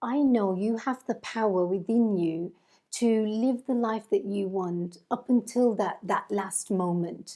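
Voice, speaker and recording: Over a quiet background, a woman talks at a fairly slow pace in a fairly high voice with a dark, mellow tone and ordinary pitch variation. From English West Midlands, Walsall. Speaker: kinesiologist. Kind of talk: interview.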